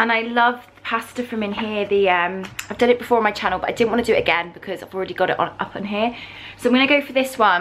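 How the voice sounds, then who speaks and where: A woman with an English accent at a fairly high pitch and a very fast pace, with ordinary pitch variation and noticeable background noise. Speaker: vlogger. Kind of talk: casual vlog talk.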